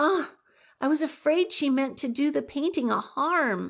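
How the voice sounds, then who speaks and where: A woman's put-on character voice, anxious in tone and high in pitch, at a moderate pace with ordinary pitch variation. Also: quiet background. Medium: audio drama.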